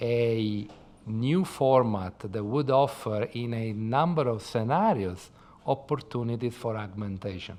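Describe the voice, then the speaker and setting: Speaking very slowly with an Italian accent, a man uses a medium pitch and ordinary pitch variation. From Italy. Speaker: tech startup founder. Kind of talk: podcast interview. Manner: talks with his hands, expressive.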